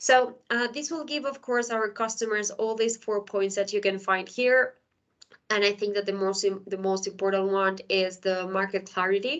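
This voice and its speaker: A woman at medium pitch with ordinary pitch variation and a moderate pace, against a quiet background. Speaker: HR software consultant and speaker. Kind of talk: conference presentation. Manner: halting with many fillers.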